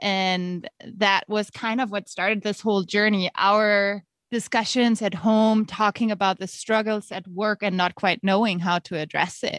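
A woman with a German accent, fairly slow pace, medium pitch and fairly even intonation, in a dry, close sound with no echo over a quiet background. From Germany. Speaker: author and teacher. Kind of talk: interview.

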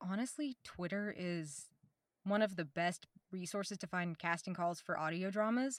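This woman has an American accent, a normal speaking voice and a fairly low pitch, with ordinary pitch variation. She talks at a moderate pace in a dry, close sound with no echo. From US South, Oklahoma. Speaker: voice actor. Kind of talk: casual chat.

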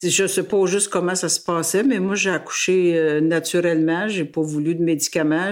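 Over noticeable background noise, a woman speaks at a moderate pace with a fairly low pitch and fairly even intonation. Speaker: family member interviewee. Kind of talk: interview.

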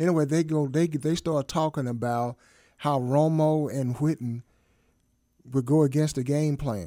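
A man's fairly high voice, dark and mellow in tone, with fairly even intonation at a moderate pace, in a very clean recording with a silent background. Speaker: guest co-host filling in. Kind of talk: casual banter, sports talk.

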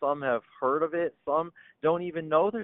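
The speaker is a man. He talks with an Upper Midwest accent. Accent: Upper Midwest American. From Michigan. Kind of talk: interview. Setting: phone or video call.

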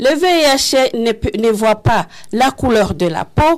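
Her high-pitched voice swings very widely in pitch as this woman speaks. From Rwanda. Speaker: HIV patient advocate. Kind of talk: testimony. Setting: radio studio with live audience.

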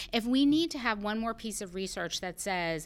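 An American-accented woman's voice, very clean recording, silent background. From Massachusetts, US. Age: 40s. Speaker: CEO and storyteller. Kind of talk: casual interview conversation.

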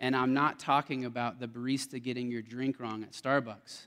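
A man with an unremarkable speaking voice talks at a moderate pace and medium pitch on a very clean recording with a silent background. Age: 30s. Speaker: guest speaker at church young adults ministry. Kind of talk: sermon. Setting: church.

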